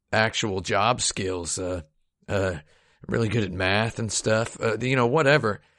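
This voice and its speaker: Against a quiet background, an ordinary speaking voice talks at a fairly slow pace. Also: man. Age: 30s. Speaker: video game podcast host. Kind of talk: casual chat.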